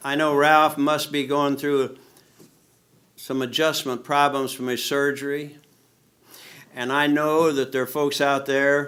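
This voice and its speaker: A man talks at a fairly slow pace with long, frequent pauses. His pitch is fairly high, his tone bright and sharp, and his intonation monotone and flat. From US Midwest, Indiana. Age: 80s+. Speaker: retired test pilot. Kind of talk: speech to an audience. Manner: informal, conversational.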